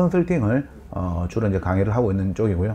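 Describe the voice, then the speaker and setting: A man at a very fast pace with lively intonation, amid noticeable background noise. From Busan, Yeongnam (southeastern Korea). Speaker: real estate consultant and lecturer. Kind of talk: lecture.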